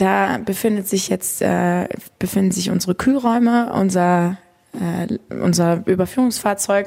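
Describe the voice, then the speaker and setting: A woman speaks in a calm, dark, mellow tone at a medium pitch. Her pace is fairly slow. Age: 20s. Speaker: funeral director. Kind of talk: casual interview. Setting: funeral home.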